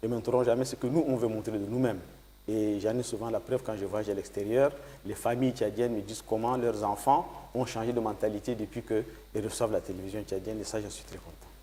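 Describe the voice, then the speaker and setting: Talking at a fairly quick pace, a man with a medium pitch shows vocal fry and big swings in loudness. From Chad (Batha region, grew up also in N'Djamena). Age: 60s. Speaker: politician and former journalist. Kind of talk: TV interview.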